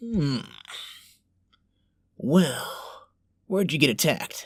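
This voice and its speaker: A man puts on a character voice, moving at a fairly slow pace with very wide pitch swings. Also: fairly high pitch for a man. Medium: audio drama. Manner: fake reassuring, casual.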